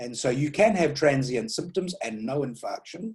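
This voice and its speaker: This man's voice is somewhat breathy. It sits at a fairly high pitch. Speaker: stroke neurologist. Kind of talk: lecture. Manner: fast.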